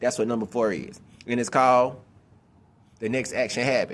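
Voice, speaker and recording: Animated in tone, a man speaks at a very fast pace and a medium pitch. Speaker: video blogger giving life advice. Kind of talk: motivational monologue to camera. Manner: animated, repetitive; speeds up when explaining.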